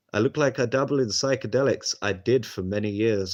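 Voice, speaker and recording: Against a quiet background, a man with a southern English accent speaks at a fairly quick pace with fairly even intonation. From London area, England. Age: 30s. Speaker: streamer. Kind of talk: casual live stream chat. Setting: live stream.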